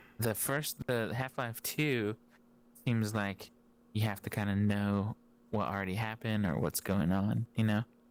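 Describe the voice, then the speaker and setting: In an ordinary speaking voice, a man talks fairly slowly at a fairly low pitch, with ordinary pitch variation and very even loudness. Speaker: content creator. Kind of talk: casual chat.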